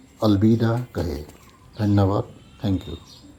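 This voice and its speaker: The speaker is a man. He talks with a non-native accent. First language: not Hindi (speaking Hindi). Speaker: bike owner reviewer. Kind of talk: product review.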